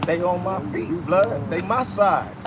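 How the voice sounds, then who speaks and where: Ordinary pitch variation marks a man's speech, with noticeable background noise behind it. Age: 60s. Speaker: former gang member. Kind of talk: storytelling interview.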